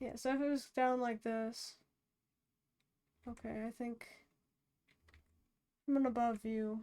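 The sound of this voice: A woman's fairly high voice in a monotone, flat intonation, with long, frequent pauses.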